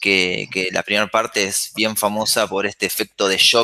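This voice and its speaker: Monotone and flat, a man speaks at a fairly low pitch and a moderate pace. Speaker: filmmaker. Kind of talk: interview conversation. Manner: halting with repetitions.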